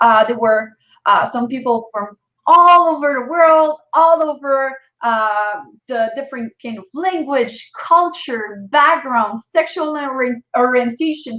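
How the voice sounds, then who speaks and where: A woman's high, raised, projected voice in a French accent, bright and sharp in tone, with lively intonation, a very slow pace and a quiet background. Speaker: entrepreneur. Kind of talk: interview.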